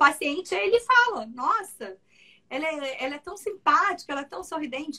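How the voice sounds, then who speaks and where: A woman's raised, projected voice with a bright, sharp tone and very wide pitch swings. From Brazil, Mato Grosso (Cuiabá). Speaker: ENT doctor. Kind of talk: interview conversation.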